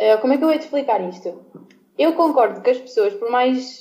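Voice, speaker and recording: A woman speaks with a dark, mellow tone. Her pitch is fairly high. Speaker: former podcast co-host returning as guest. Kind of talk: casual debate among friends.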